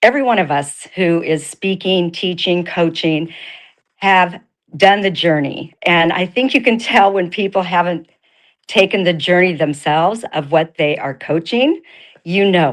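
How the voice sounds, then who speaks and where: A woman talks at a fairly slow pace with ordinary pitch variation and a fairly low pitch. Hers is an unremarkable speaking voice. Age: 60s. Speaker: network marketing coach for women. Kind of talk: motivational talk.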